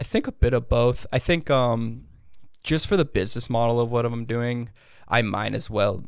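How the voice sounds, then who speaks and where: Medium-pitched male speech at a moderate pace in a very clean recording with a silent background. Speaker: brand founder and former online prankster. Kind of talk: casual interview chat. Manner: casual, filler-heavy.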